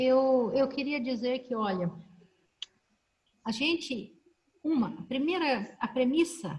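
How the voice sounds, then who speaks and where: A high-pitched woman with lively intonation, a very slow pace and long, frequent pauses. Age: 60s. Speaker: professor and panel moderator. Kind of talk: online panel discussion. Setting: video call.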